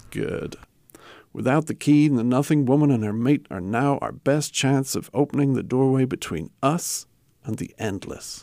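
A man's dark, mellow tone with ordinary pitch variation, on a very clean recording with a silent background. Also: medium pitch for a man, moderate pace. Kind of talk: audio drama performance, scripted dramatic dialogue.

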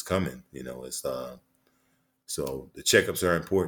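This voice has an American accent. Vocal fry runs through it. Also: man, very clean recording, silent background. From Detroit, US Midwest. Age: 60s. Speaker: retired NBA player and author. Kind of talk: casual interview, storytelling. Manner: conversational, laughing, many filler words.

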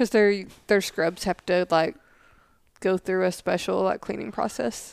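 Recorded very cleanly with a silent background and a dry, close sound free of echo, a woman speaks at a fairly slow pace in a medium pitch with ordinary variation. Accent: Southern US. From Tennessee. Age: 30s. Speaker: Air Force intelligence analyst, podcast co-host. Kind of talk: casual chat.

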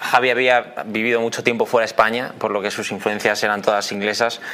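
With a medium pitch and a fairly quick pace, a man speaks while noticeable background noise runs beneath him. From Spain. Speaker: band member, musician. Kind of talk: casual interview.

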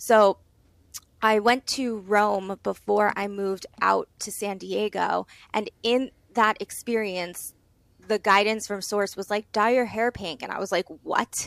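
A woman speaks at a medium pitch and a fairly slow pace, with fairly even intonation. The recording is very clean, with a silent background. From Long Island, New York. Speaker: medium and entrepreneur. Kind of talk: casual interview.

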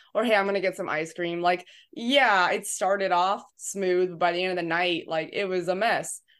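Over a quiet background, a woman with a normal speaking voice talks at a moderate pace, medium pitch and fairly even intonation. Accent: American. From Southern California, San Diego. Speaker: college strength coach. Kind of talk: casual interview chat.

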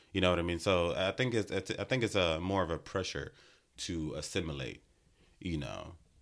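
A man talks with a very deep, low pitch. His pace is moderate and his pitch variation ordinary. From Nigeria. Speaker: podcast host. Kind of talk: interview. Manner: direct.

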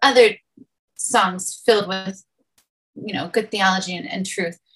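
A woman is speaking. Her tone is bright and sharp. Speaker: church planter. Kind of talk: casual discussion of song lyrics.

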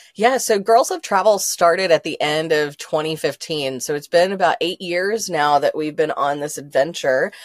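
In a dry, close sound with no echo, a woman with an ordinary speaking voice and a fairly low pitch talks at a moderate pace with ordinary pitch variation and hardly any pauses. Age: 40s. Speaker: founder of a women's travel community. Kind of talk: casual interview chat.

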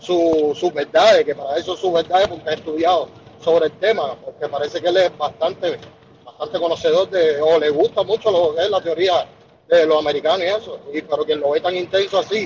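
Over noticeable background noise, a man with a high pitch talks at a fairly quick pace with fairly even intonation. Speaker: caller. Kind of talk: casual chat.

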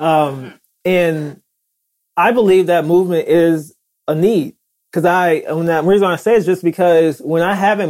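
A man speaks at a fairly slow pace in a high voice. His pitch varies in an ordinary way. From US South. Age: 30s. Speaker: chiropractor. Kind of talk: casual interview. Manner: hesitant, many fillers.

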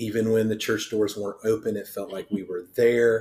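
A man speaks with an Ohio accent. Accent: Midwestern American (Ohio). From southern Ohio. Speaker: pastor. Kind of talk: casual chat.

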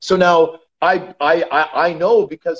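In a Canadian accent, this man has an ordinary speaking voice pitched fairly high. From Canada. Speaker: retired professional hockey player. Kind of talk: casual interview.

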